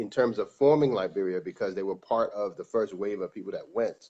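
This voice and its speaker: This man has an unremarkable speaking voice with an American accent. His pitch is medium, and it varies in an ordinary way. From New York City, Staten Island. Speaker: music producer and director, guest. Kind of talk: casual interview conversation.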